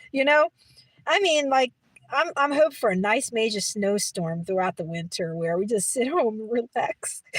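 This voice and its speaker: A woman with an American accent and very wide pitch swings, in a dry, close sound with no echo. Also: fairly high pitch for a woman, moderate pace. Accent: New York accent, switches at times. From New York City, Brooklyn. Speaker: livestreamer. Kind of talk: casual chat. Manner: repetitive, hesitant.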